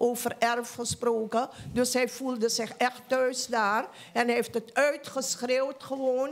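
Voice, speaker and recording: A woman speaks very slowly in a high pitch, with very even loudness and monotone, flat intonation. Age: 60s. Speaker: audience member. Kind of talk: audience question. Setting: stage with audience. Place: hall. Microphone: handheld.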